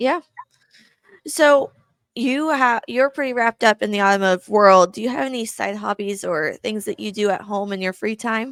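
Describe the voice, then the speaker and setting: This woman has an unremarkable speaking voice, fairly high in pitch with lively intonation. She talks at a moderate pace in a dry, close sound with no echo. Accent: American. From Kansas. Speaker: podcast host. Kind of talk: podcast interview.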